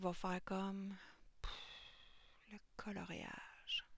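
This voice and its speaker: A woman speaks softly. Her pitch sits in the medium range. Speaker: colouring tutorial youtuber. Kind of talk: tutorial. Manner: soft-spoken.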